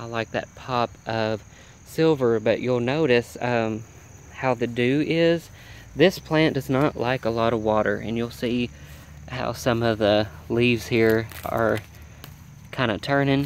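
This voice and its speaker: A man talks at a fairly slow pace with long, frequent pauses, medium pitch and ordinary pitch variation. Behind him there is noticeable background noise. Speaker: home gardener vlogger. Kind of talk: garden tour walkthrough. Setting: outdoors by a road.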